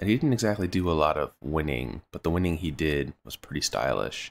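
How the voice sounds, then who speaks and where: In a very clean recording with a silent background, a man talks at a very deep, low pitch with ordinary pitch variation. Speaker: gaming video creator. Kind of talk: gameplay commentary. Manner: casual, hesitant with fillers.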